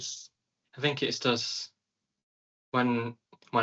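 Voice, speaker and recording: A man talks at a fairly slow pace. His intonation stays flat and monotone. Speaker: content creator. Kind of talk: interview answer. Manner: hesitant.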